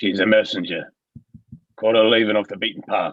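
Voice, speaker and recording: A man does a put-on character voice that is raspy and medium in pitch. He talks fairly quickly with a monotone, flat intonation. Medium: audio drama. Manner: gruff, threatening.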